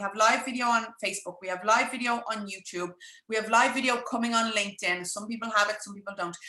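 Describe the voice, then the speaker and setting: A woman talks at a very fast pace with fairly high pitch and fairly even intonation. Noticeable background noise is present. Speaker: business coach. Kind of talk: live webinar masterclass.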